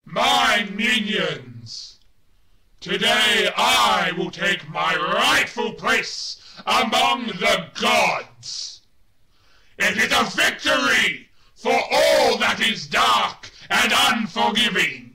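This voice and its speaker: The speech moves at a very slow pace with very even loudness and a slight echo. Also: man, high pitch for a man. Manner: menacing, commanding.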